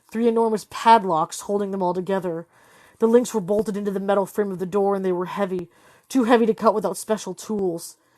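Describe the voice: The intonation stays fairly even. It is plain reading aloud.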